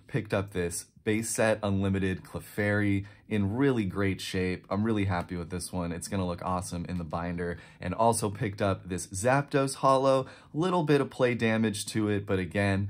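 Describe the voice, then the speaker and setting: A man's fairly low voice at a moderate pace with ordinary pitch variation. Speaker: card collector vlogger. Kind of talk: casual vlog chat. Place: home room.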